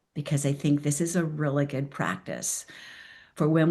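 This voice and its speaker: Against a quiet background, a woman talks at a fairly slow pace in a very deep, low pitch. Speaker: transformational coach. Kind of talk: talk to a virtual group. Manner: deliberately slow.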